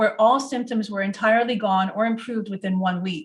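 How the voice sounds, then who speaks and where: Somewhat breathy and fairly high in pitch, a woman speaks with an American accent and ordinary pitch variation. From US Northeast. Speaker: product presenter. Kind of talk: webinar presentation. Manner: fast.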